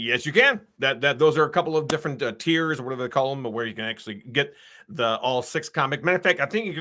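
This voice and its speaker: Very fast and fairly high-pitched, this man's voice has a bright, sharp tone with ordinary pitch variation. The recording is very clean, with a silent background. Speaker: comic book creator. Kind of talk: interview.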